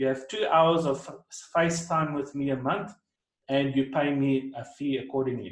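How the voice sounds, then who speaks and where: A man talks in an ordinary speaking voice at a fairly high pitch. His pace is moderate and his intonation fairly even. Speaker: crypto trading coach. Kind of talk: presentation.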